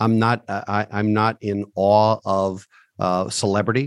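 A man's fairly low voice comes across with monotone, flat intonation in a dry, close sound with no echo. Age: 50s. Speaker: financial advisor and CEO. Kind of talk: interview.

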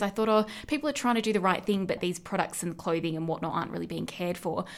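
This woman has an Australian accent and a medium pitch. Her pitch variation is ordinary. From Australia, Central West New South Wales. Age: 20s. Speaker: podcast co-host. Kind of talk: casual chat.

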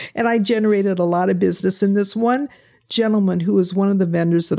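With a Midwestern American accent, a woman speaks at a fairly quick pace with medium pitch, ordinary pitch variation and a dark, mellow tone, on a very clean recording with a silent background. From Indiana (Fort Wayne). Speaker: retired pastor. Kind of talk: interview.

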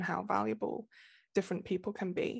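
With an English Midlands accent, a woman speaks at a medium pitch with vocal fry against a quiet background. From England, Nottingham. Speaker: romance novelist. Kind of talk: interview.

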